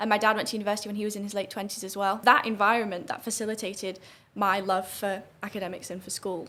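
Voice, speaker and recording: Delivered at a very fast pace, a woman's medium-pitched voice stays monotone and flat. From northern England, St Helens area. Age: 20s. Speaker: student debater and political commentator. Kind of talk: podcast interview.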